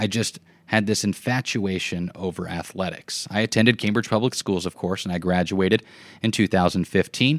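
A man with a Midwestern American accent speaks at a moderate pace with a fairly low pitch and ordinary pitch variation. The recording is very clean with a silent background and a dry, close sound with no echo. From US Midwest, southwest Nebraska. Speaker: podcast host, former sports broadcaster. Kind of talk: personal narrative monologue.

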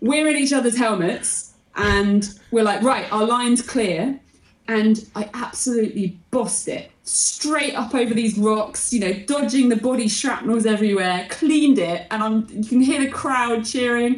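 A woman speaks in an unremarkable speaking voice at a fairly slow pace. Her pitch is fairly high, with ordinary pitch variation. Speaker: motorcyclist and content creator. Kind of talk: casual interview chat.

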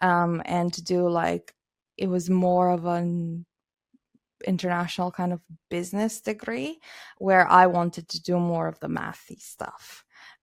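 A woman with a Romanian accent talks at a fairly slow pace and a fairly low pitch. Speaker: technology evangelist. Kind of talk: casual interview. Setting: video call.

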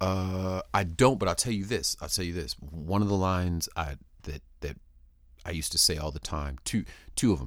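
On a very clean recording with a silent background, a man with an American accent and a very deep, low voice speaks at a moderate pace with lively intonation. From San Diego, California. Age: 40s. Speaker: rapper and podcast host. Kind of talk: interview. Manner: halting, frequent repetitions.

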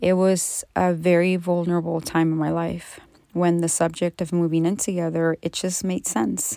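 A woman's dark, mellow, fairly low voice at a moderate pace, with fairly even intonation, on a very clean recording with a silent background. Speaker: podcast host, abuse survivor and trauma coach. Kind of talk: personal testimony monologue.

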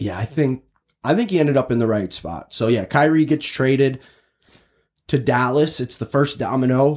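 With an American accent, a man has an unremarkable speaking voice at medium pitch with ordinary pitch variation, speaking at a moderate pace on a very clean recording with a silent background. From Chicago, US Midwest. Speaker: sports podcast host. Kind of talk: casual sports chat. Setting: recording booth.

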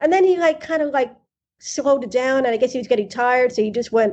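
With a New York accent, a woman speaks in a high voice. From East Harlem, New York City. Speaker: host's sister. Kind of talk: casual interview, childhood memories. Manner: halting, repeats words.

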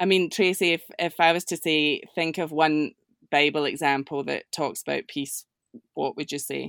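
On a very clean recording with a silent background, someone with a Scottish accent speaks at a moderate pace with fairly even intonation. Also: woman, very deep, low pitch for a woman. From Scotland. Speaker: prayer coordinator. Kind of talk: casual chat.

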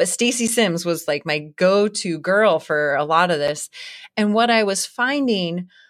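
Very clean recording, with a silent background. The delivery keeps a moderate pace with ordinary pitch variation. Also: woman. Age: 40s. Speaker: professional ultra runner and author. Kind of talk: casual interview chat. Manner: animated, laughs often.

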